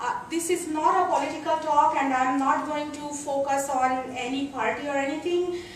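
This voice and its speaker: A woman's high voice with a non-native accent and ordinary pitch variation at a moderate pace, amid noticeable background noise and audible room echo. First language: not English. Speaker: computer science professor. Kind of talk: lecture. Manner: hesitant, many fillers.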